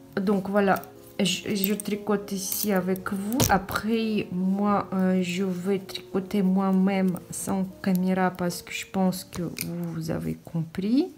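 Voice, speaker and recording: Over noticeable background noise, a woman speaks at a medium pitch. Her pace is very slow and her intonation monotone and flat. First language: not French (speaking French). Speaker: knitting teacher. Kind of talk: tutorial. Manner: halting.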